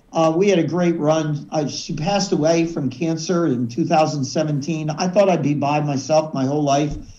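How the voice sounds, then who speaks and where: A man's fairly high voice at a moderate pace with hardly any pauses, amid noticeable background noise and audible room echo. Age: 70s. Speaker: sales speaker and business coach. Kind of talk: podcast interview. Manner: animated; halting, repeats words.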